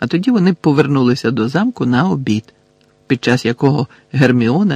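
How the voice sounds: The natural reading voice has lively intonation.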